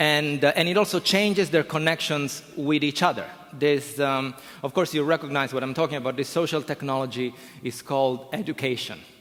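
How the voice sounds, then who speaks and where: A man speaks at a fairly quick pace with an Italian accent and a fairly high pitch. Noticeable background noise runs behind him. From Italy. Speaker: professor. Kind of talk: conference talk. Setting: stage with audience. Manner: animated.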